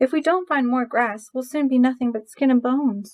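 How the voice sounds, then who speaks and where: A put-on character voice moves along at a fairly quick pace. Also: woman, high pitch for a woman. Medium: read story. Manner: nervous, stammering.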